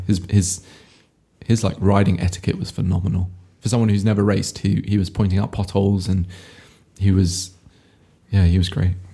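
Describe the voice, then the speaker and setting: This man has a very deep, low pitch and a somewhat breathy voice. He moves at a fairly quick pace with fairly even intonation and long, frequent pauses. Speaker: podcast host. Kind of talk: casual chat.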